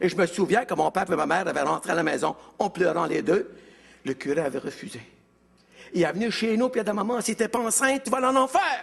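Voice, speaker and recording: A man with a Quebec accent speaks at a very fast pace in a high pitch, his intonation lively. He leaves long, frequent pauses. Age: 70s. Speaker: evangelist. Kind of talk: testimony.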